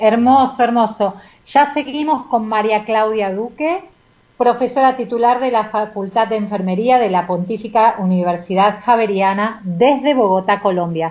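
Speaking at a fairly slow pace, a woman uses a normal speaking voice with a fairly high pitch and ordinary pitch variation. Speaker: radio host. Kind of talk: radio interview.

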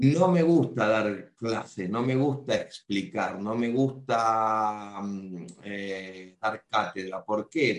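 A man speaks very slowly, his intonation lively. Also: fairly low pitch for a man. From Argentina. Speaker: magician and clown. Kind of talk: casual interview. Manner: halting, repetitive.

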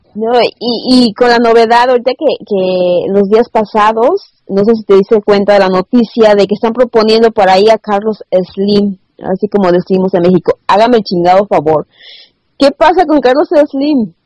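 Her fairly high-pitched voice has a dark, mellow tone, ordinary pitch variation, and very even loudness as the woman talks at a moderate pace in dry, close sound with no echo. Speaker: radio host. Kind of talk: interview.

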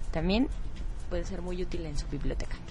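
Over music in the background, a woman speaks with audible room echo. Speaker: radio co-host. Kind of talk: radio interview.

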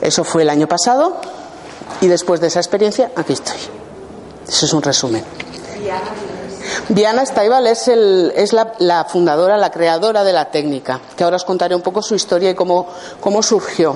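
Amid noticeable background noise, a woman with a fairly low pitch and lively intonation speaks at a moderate pace, with long, frequent pauses. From Basque Country, Spain (Gipuzkoa). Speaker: healing therapist. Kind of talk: workshop talk. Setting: room with live audience. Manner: halting.

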